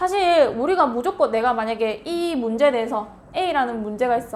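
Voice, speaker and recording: A woman speaks in a Gyeongsang accent at a high pitch and a fairly quick pace, with lively intonation. Audible room echo surrounds her voice. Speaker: middle school Korean language teacher. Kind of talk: lecture. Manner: conversational, asks rhetorical questions.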